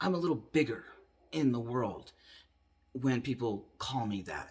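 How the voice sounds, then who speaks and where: A man talks fairly slowly, his voice a bit breathy. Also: medium pitch for a man, ordinary pitch variation. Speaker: vlogger sharing transition update. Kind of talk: video diary monologue. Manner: casual, hesitant with fillers.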